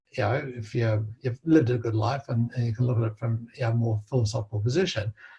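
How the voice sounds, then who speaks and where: Talking at a very fast pace, a man with an Australian accent has a medium pitch and fairly even intonation. His tone is dark and mellow, and somewhat breathy. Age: 70s. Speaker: interviewee, doctor. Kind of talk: interview conversation. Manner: halting with many fillers and repetitions.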